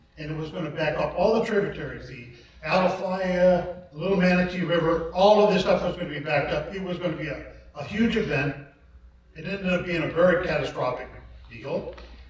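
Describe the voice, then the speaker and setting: A man at a fairly quick pace and high pitch, with big swings in loudness, audible room echo and noticeable background noise. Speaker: emergency squad chief. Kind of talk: community workshop presentation.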